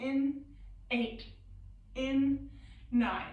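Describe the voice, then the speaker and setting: A woman speaks very slowly in a high voice. Noticeable background noise runs under her speech. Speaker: yoga teacher. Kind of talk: guided yoga class. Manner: loud; slow breathing cues.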